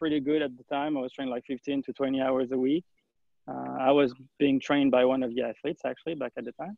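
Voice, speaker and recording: Very fast speech from a man at medium pitch, with fairly even intonation. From France. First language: French. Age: 30s. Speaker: journalist. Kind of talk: podcast interview. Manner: halting, many fillers.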